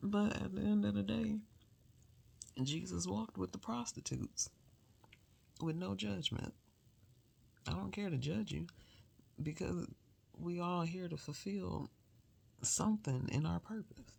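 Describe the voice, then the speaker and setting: Soft-spoken and very deep for a woman, her voice swings very widely in pitch as she moves at a fairly slow pace with long, frequent pauses. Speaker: solo vlogger. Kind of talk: casual late-night monologue.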